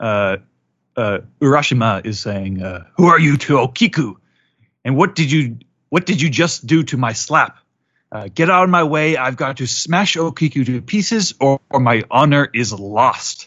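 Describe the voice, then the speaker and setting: At a medium pitch and a moderate pace, a man with a normal speaking voice talks with lively intonation. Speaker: anime news writer and anime recap host. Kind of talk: casual chat.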